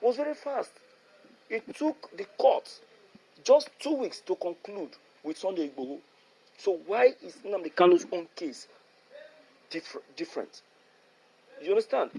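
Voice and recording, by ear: A man talks at a fairly slow pace in a high pitch. His tone is dark and mellow, with a slightly husky edge.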